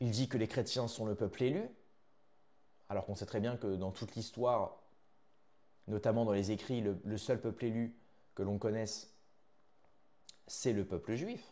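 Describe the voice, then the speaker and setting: A man with a dark, mellow tone talks at a medium pitch. His intonation is fairly even, broken by long, frequent pauses. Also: moderate pace. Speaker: news commentary YouTuber. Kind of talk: video commentary monologue. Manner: hesitant, many fillers.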